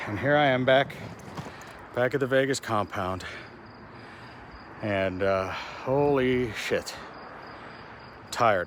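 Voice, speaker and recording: In an American accent, a man with a medium pitch and lively intonation talks at a very slow pace against noticeable background noise. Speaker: RV vlogger. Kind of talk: casual vlog monologue. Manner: animated, casual.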